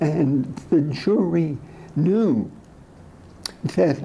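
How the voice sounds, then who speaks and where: A man's somewhat breathy voice, fairly high in pitch, with a dark, mellow tone and ordinary pitch variation. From Europe. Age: 80s+. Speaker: trial lawyer. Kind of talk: speech.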